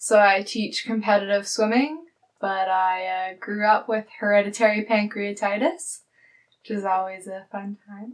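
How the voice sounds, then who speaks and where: A woman with a normal speaking voice talks at a fairly slow pace and a medium pitch, with ordinary pitch variation and big swings in loudness. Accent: Canadian. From Canada, Alberta. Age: 20s. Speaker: university student. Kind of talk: interview testimony.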